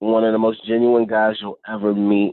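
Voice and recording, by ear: A man speaks at a moderate pace in a fairly low, flat monotone. The sound is dry and close, with no echo.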